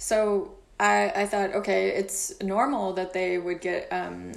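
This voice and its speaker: Audible room echo surrounds a woman's fairly slow speech. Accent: American. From Kentucky, US. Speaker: music publisher. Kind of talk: casual interview. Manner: halting, many fillers.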